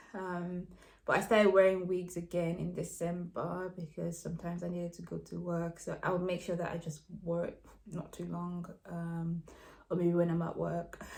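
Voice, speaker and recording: A somewhat breathy woman's voice, fairly low in pitch, delivers everything in a monotone, flat intonation. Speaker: vlogger. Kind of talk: personal video update. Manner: fast; hesitant, many fillers.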